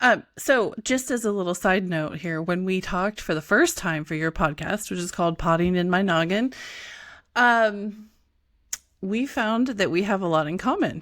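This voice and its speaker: A woman at a medium pitch with ordinary pitch variation, a plain, everyday voice, in a very clean recording with a silent background. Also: moderate pace. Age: 40s. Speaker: podcast host. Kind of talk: podcast interview.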